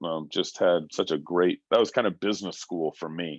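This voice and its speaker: A man with an American accent speaks fairly quickly in a very deep, low pitch and fairly even intonation, in a dry, close sound with no echo against a quiet background. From Texas, Dallas-Fort Worth. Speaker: political candidate. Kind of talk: Q&A interview. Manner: halting, many fillers.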